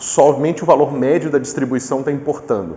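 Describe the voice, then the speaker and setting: A man talking at a moderate pace. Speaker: physics professor. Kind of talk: lecture.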